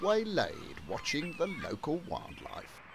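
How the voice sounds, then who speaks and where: Speaking at a moderate pace, a man is heard with noticeable background noise behind him. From England. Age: 60s. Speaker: video diarist. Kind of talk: personal video diary narration.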